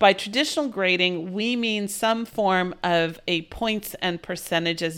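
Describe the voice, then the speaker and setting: A woman talks in a plain, everyday voice at a fairly slow pace with hardly any pauses, her medium pitch showing ordinary variation. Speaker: college math instructor and podcast co-host. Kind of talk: casual co-host conversation about grading.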